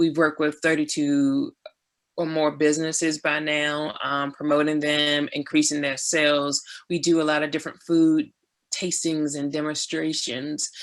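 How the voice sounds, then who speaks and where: The speaker has an American accent and a moderate pace. The recording is very clean with a silent background. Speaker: community food market founder. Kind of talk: panel presentation.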